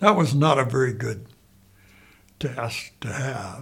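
Lively intonation marks this man's medium-pitched voice, delivered with an American accent. It sounds somewhat breathy. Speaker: Vietnam War veteran. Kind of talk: elder life story, recalling war memories in an unedited interview. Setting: interview. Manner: rambling, halting, repeating phrases as he recalls; plainspoken, matter-of-fact, conversational.

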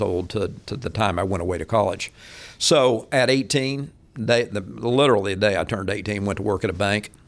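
A normal speaking voice, moderate in pace and ordinary in pitch variation. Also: man. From Kansas. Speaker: mortgage bank CEO. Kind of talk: interview. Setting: studio.

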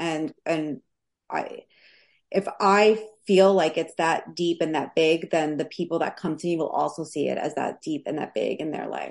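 In a New York accent, a woman speaks at a moderate pace with a fairly low pitch and vocal fry. Her intonation is fairly even, and the background is quiet. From New York City (Queens). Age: 30s. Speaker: life coach. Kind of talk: casual interview.

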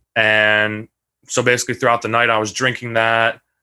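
A man's bright, sharp tone in monotone, flat intonation. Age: 20s. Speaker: hazing survivor and college student. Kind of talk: testimony.

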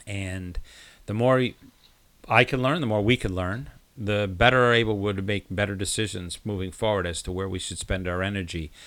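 At a moderate pace, a man speaks in an unremarkable speaking voice with a fairly low pitch and ordinary pitch variation. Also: very clean recording, silent background. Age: 50s. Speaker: podcast host. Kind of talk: interview.

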